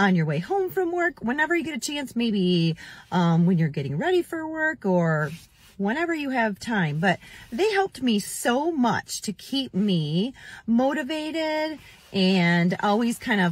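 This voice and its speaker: The woman speaks at a fairly slow pace, her voice dry with no echo. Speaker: weight loss vlogger. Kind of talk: casual vlog chat. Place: car. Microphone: phone near.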